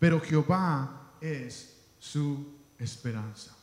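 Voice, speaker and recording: A man's somewhat breathy, fairly high-pitched voice, with lively intonation and audible room echo. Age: 30s. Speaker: pastor. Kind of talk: sermon.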